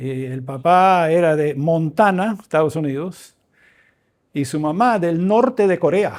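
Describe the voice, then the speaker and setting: On a very clean recording with a silent background, a man speaks at a very slow pace in a high pitch with ordinary pitch variation. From Venezuela, raised by Canadian missionary parents. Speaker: professor and visiting preacher. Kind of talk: sermon. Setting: church. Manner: informal, joking.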